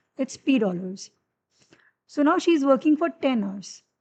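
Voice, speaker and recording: With an Indian accent, a woman speaks at a moderate pace. Her pitch is high. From Haryana, India. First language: Haryanvi. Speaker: math tutor. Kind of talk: live-streamed tutorial. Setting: livestream. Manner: hesitant, many fillers.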